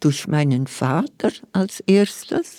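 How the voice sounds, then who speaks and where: In a dry, close sound with no echo, a woman speaks at a very slow pace with lively intonation. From Lower Engadine, Graubünden, Switzerland. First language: Romansh (Vallader) (speaking German). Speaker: poet and novelist. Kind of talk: interview.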